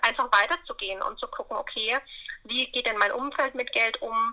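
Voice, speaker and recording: Her voice has a bright, sharp tone and a high pitch. The woman speaks at a moderate pace. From Upper Franconia, Bavaria (Bayreuth). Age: 20s. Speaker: money mindset coach. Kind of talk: interview.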